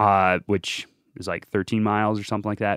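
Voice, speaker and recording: This man has an ordinary speaking voice, fairly low in pitch, and talks at a fairly quick pace. The recording is very clean with a silent background and a dry, close sound with no echo. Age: 20s. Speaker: Olympic biathlete. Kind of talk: casual chat.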